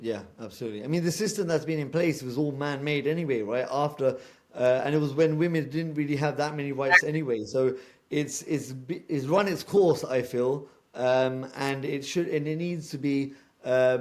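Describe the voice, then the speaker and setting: A man with a fairly high pitch, a British accent and ordinary pitch variation. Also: moderate pace. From UK, British Punjabi background. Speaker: podcast co-host. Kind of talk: casual chat.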